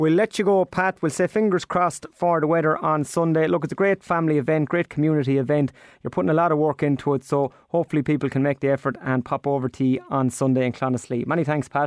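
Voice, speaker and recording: A man with an Irish accent talks at a very fast pace with hardly any pauses, a fairly high pitch, ordinary pitch variation and very even loudness, in a dry, close sound with no echo. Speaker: radio presenter of a farming show. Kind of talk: radio interview. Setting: studio.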